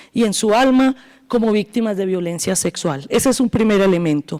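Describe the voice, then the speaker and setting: A woman with an Antioquian Colombian accent speaks at a fairly high pitch with ordinary pitch variation, on a very clean recording with a silent background. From Colombia, northeastern Antioquia. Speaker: law professor, transitional justice expert. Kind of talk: academic panel talk.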